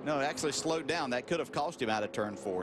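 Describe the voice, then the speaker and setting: A man talks at a very fast clip, his pitch swinging very widely. Noticeable background noise runs underneath. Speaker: race commentator. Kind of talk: live race commentary, pit and practice analysis. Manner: analytical, conversational play-by-play.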